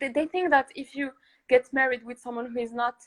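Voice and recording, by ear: Recorded dry and close with no echo, a woman with a high pitch speaks at a fairly quick pace with fairly even intonation.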